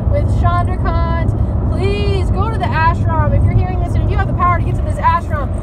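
Against loud background noise, a woman talks at a fairly quick pace, the sound dry with no echo. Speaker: spiritual vlogger. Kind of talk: casual vlog chat. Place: car. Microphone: phone near.

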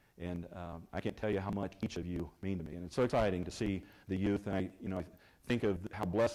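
Against a quiet background, a man talks with a fairly low pitch, a dark, mellow tone and fairly even intonation. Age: 50s. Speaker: church member giving testimony. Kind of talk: testimony. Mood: warm, grateful, heartfelt. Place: church.

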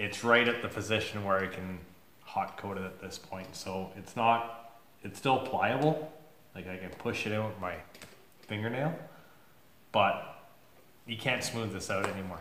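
A man with fairly low pitch and ordinary pitch variation at a moderate pace, with long, frequent pauses, big swings in loudness, audible room echo and light background noise. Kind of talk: casual vlog chat. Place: workshop. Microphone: phone near.

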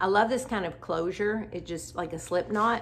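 A woman talks at a moderate pace with vocal fry and ordinary pitch variation.

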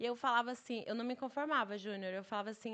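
A woman's fairly high voice comes through over a quiet background. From Brazil, Bahia (Itabuna); Bahia, Brazil. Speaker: travel entrepreneur; podcast guest. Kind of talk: casual interview chat. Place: studio. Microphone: studio mic.

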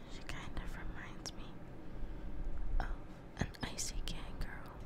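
Over loud background noise, the speaker talks at a fairly slow pace with long, frequent pauses, in a dry sound with no echo. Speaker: ASMR creator. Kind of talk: ASMR soft-spoken narration.

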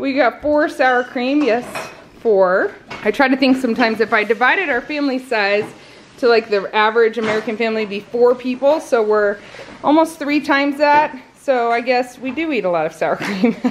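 A woman speaks with a high pitch and ordinary pitch variation. Her pace is moderate, with light noise in the background. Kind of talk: casual vlog chat. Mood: cheerful, light laughter. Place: home room. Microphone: phone near.

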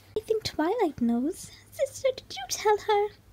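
A female-sounding, put-on character voice is pitched extremely high. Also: moderate pace. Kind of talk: formal royal address. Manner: grand, formal.

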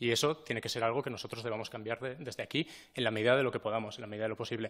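Against a quiet background, a man talks very fast at a medium pitch with fairly even intonation. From Spain, Teruel (Aragón); Aragón, Spain. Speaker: regional government official, scientist. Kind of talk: formal appearance before parliament. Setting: parliament hearing room. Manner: halting, with filler sounds. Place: meeting room. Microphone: podium.

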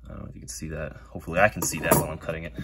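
A man is speaking. Loud background noise runs under his voice. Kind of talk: tutorial. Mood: relaxed, slightly nervous. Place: workshop. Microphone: phone near.

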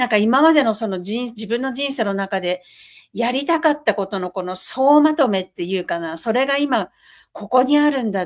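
A plain, everyday voice at a moderate pace, with lively intonation over a quiet background. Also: woman, fairly high pitch for a woman. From Japan, Niigata; Japan. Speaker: podcast co-host, side-business entrepreneur; online talk show host or guest. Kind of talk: casual chat. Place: home room.

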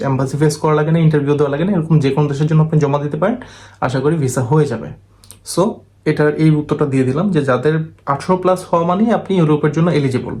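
This man has a normal speaking voice. His pitch is fairly high. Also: ordinary pitch variation. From Bangladesh, Dhaka and Chittagong area. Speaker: visa and overseas job agent. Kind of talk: monologue video update. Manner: blunt, assertive.

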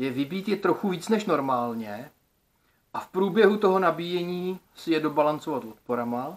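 A man speaks fairly slowly, and his intonation is lively. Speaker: DIY electronics video creator. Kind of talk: casual vlog monologue. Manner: colloquial, lots of filler words. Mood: thoughtful, slightly frustrated. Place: home room. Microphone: phone near.

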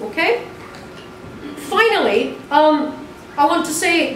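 A woman speaks with audible room echo around her. Light background noise can be heard. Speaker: event chair. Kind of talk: moderating a panel. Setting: hall with audience. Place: classroom.

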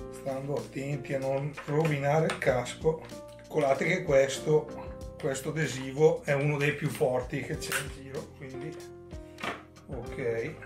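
A man at a fairly slow pace, monotone and flat, with long, frequent pauses and clear music in the background. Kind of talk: tutorial. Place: home room.

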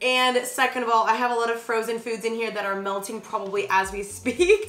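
Talking at a very fast pace, a woman with a high pitch is heard with audible room echo. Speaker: lifestyle vlogger. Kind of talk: casual vlog chat. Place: kitchen.

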